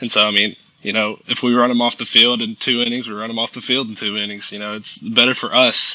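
A man's very fast, medium-pitched speech with a Southern US accent and monotone, flat intonation. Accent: Southern American. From US South, Augusta, Georgia. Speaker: college baseball player. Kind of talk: casual interview.

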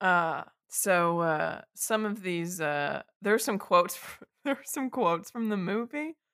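In an ordinary speaking voice, a medium-pitched woman talks fairly slowly with hardly any pauses, lively intonation, and big swings in loudness, on a very clean recording with a silent background. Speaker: podcast co-host. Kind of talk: casual chat.

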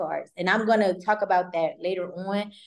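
Her unremarkable speaking voice moves at a fairly quick tempo. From Maryland. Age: 20s. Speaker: credit repair consultant and realtor. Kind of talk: casual interview.

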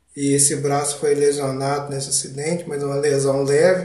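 The man here has a fairly high pitch and speaks at a moderate pace. His delivery is flat and monotone, with audible room echo. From Brazil, Minas Gerais (Ubá). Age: 30s. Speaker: podcast host, Parkinson's patient. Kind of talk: personal narration, monologue.

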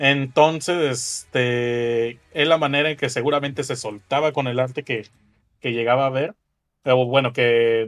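At a fairly slow pace, a man speaks in a plain, everyday voice of medium pitch, with fairly even intonation. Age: 20s. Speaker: podcast co-host. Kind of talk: casual chat.

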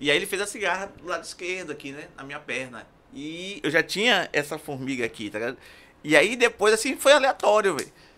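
This bright, sharp voice moves at a fairly quick pace with very wide pitch swings and big swings in loudness, on a very clean recording with a silent background. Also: man, high pitch for a man. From Brazil, Castelo Branco. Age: 50s. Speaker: tattoo artist and musician. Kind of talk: casual chat.

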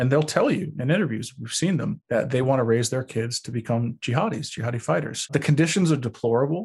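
A man with an American accent talks very fast at a medium pitch, hardly pausing. His voice is somewhat breathy, and his intonation is lively. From Long Beach, New York. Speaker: terrorism researcher. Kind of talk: interview.

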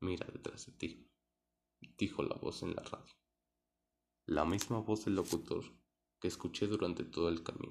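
A man's very deep, low, somewhat breathy voice at a moderate pace, with long, frequent pauses. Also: ordinary pitch variation. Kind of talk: scripted horror narration, first-person ghost story. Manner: suspenseful, hushed, building tension.

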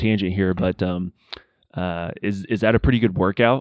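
A man's fairly low-pitched, normal speaking voice moves at a moderate pace, its intonation fairly even. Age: 30s. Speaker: podcast host. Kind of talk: casual interview.

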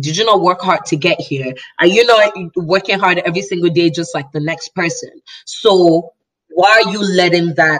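With an American accent, a woman speaks at a moderate pace with a fairly low pitch. She has ordinary pitch variation and an ordinary speaking voice. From Nigeria and Chicago. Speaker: guest. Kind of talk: casual conversational chat about identity.

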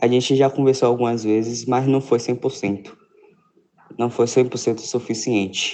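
The speaker has a dark, mellow tone and fairly even intonation, moving at a fairly slow pace. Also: man. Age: young. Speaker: listener sending voice message. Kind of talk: recorded voice message.

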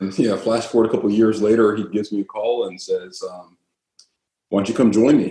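At a fairly quick pace, a man with a fairly low pitch speaks in a dark, mellow tone, with ordinary pitch variation and big swings in loudness. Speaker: orthopedic surgeon. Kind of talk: casual interview.

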